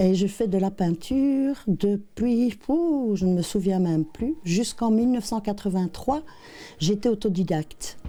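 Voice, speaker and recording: In a very clean recording with a silent background, a woman with a dark, mellow tone speaks at a medium pitch with lively intonation. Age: 60s. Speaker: painter. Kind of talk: interview. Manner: hesitant, many fillers.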